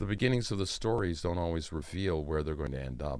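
The speaker is a man. An American accent shapes his words. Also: very clean recording, silent background. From US Midwest (Ann Arbor, Michigan). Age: 70s. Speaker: magician. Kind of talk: interview. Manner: soft-spoken.

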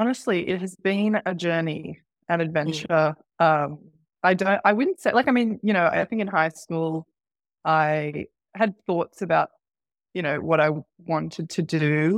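Speaking at a fairly slow pace with an Australian accent, the voice leaves long, frequent pauses, with ordinary pitch variation and a dry, close sound with no echo. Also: woman, fairly low pitch for a woman. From Sydney, Australia (part of childhood in Qatar). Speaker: marketing manager. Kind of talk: interview.

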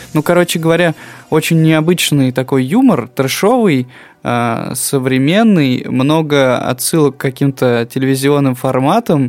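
A man has a plain, everyday voice, with a fairly high pitch and ordinary pitch variation. He speaks at a fairly slow pace with very even loudness. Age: 30s. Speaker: podcast co-host. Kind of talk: casual chat.

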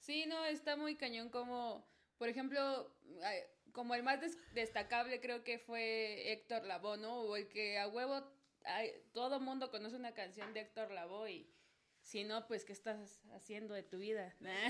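A Mexico City accent at a fairly slow pace, with ordinary pitch variation. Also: woman, fairly high pitch for a woman. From Mexico City (Azcapotzalco). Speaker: guest, salsa fan. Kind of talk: casual chat.

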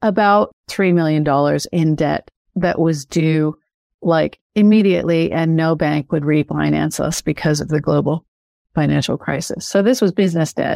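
Fairly low in pitch, a woman speaks at a moderate pace in a dark, mellow tone. Her pitch varies in an ordinary way, and the sound is dry and close with no echo. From Canada, then Australia from age 16. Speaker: author and mindset coach. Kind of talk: interview. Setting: remote call.

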